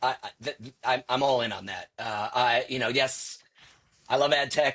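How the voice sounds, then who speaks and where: A man's voice with a bright, sharp tone. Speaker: marketing executive. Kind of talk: casual interview. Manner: fast; animated.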